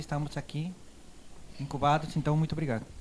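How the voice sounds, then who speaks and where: A man with a Colombian accent and a fairly high pitch. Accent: foreign accent in Portuguese, Colombian. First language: Spanish (speaking Portuguese). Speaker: university professor. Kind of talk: casual interview.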